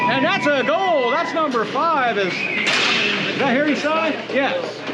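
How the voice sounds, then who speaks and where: With noticeable background noise and audible room echo, a man speaks at a very slow pace in a raised, projected voice of extremely high pitch, his intonation lively and his loudness very even. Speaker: play-by-play announcer. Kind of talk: live commentary. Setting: indoor arena.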